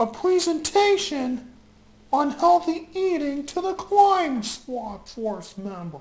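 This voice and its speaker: The voice sits high in pitch and moves fairly slowly, with very wide swings in pitch. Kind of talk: comic toy parody show. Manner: upbeat, announcing.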